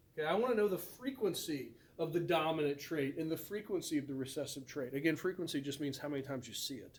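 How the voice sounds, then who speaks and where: Amid audible room echo, a man with a fairly high voice speaks at a very fast pace. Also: ordinary pitch variation. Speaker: biology teacher. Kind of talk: recorded lecture.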